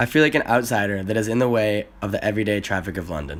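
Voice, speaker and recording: Speaking very fast, a man with an American accent uses a fairly low voice. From US Midwest, Chicago. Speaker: exchange student. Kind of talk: scripted narration.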